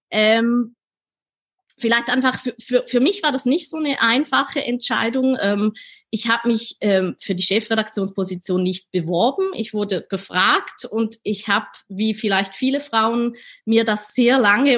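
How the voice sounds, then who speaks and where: A woman with a fairly high pitch speaks fairly slowly, with ordinary pitch variation. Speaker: editor-in-chief. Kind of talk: interview. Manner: hesitant, many fillers.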